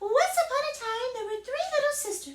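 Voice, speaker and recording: A woman speaks at a moderate pace in a put-on character voice, squeaky and hoarse, pitched extremely high with very wide swings in pitch. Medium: read story.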